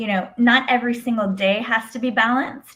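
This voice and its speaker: With an unremarkable speaking voice, a woman talks at a moderate pace and a fairly high pitch. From Mexico, moved to US at five. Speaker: lawyer. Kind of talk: interview.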